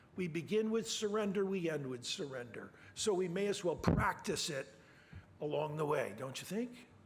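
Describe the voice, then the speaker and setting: Audible room echo surrounds a man's voice. He speaks at a high pitch with lively intonation. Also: moderate pace. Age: 70s. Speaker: preacher. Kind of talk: sermon.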